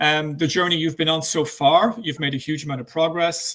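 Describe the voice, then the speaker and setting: In an Irish accent, a man talks with a fairly high pitch. His intonation stays fairly even. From Ireland. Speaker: banking executive. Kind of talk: interview. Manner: hesitant, many fillers.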